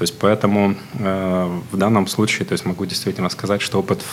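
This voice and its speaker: Noticeable background noise sits behind a monotone, flat voice at a moderate pace. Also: man. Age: 40s. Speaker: HR director. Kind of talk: interview. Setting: studio. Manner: formal.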